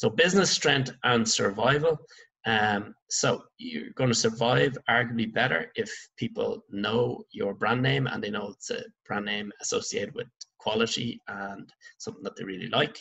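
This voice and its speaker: Against a quiet background, the man keeps a moderate pace. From Ireland. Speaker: secondary school business teacher. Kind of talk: online lecture. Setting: recorded remote lesson over slides. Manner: halting, many fillers. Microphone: webcam.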